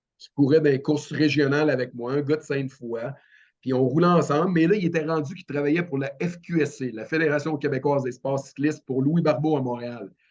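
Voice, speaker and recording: In a Quebec accent, a man speaks at a fairly high pitch with fairly even intonation and big swings in loudness. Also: fairly quick pace. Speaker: paralympic cyclist. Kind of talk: podcast interview. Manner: halting.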